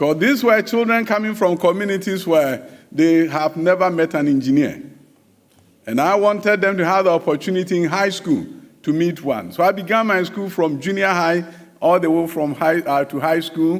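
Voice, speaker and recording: A man's high voice in a Ghanaian accent, at a moderate pace with ordinary pitch variation. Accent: Ghanaian accent kept despite decades in US. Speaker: education minister. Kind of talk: conference speech.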